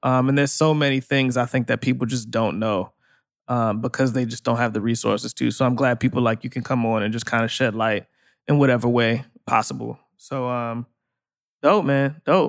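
A man has an unremarkable speaking voice at a medium pitch, with fairly even intonation and a moderate pace. The recording is very clean, with a silent background. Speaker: podcast co-host. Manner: casual, laid-back.

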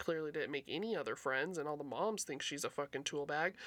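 A woman with an American accent and an ordinary speaking voice, fairly low in pitch, with ordinary pitch variation. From local to the show's city (Reno area, Nevada). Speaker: returning guest, former co-host. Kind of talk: casual chat.

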